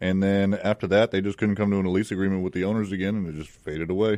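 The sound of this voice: The voice has a dark, mellow tone and an American accent. It moves at a fast pace with fairly even intonation. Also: man, low pitch for a man.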